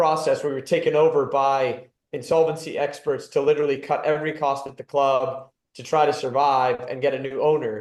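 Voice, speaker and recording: A plain, everyday voice, a man with an American accent at a fairly high pitch, moderate pace and fairly even intonation. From California. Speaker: football club executive and former player. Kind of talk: podcast interview. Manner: conversational, some repetitions.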